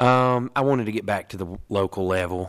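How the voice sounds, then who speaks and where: Recorded very cleanly against a silent background, a man with an American accent talks at a moderate pace. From Northeast Tennessee, Tri-Cities area. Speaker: city codes director. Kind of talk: interview. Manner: halting, frequent repetitions and fillers.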